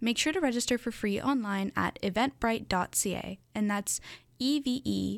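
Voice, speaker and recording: A woman with a normal speaking voice talks at a moderate pace with ordinary pitch variation, in a dry, close sound with no echo on a very clean recording with a silent background. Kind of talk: newsreading. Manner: bright, clear and efficient, reading weather figures and event details at a steady pace.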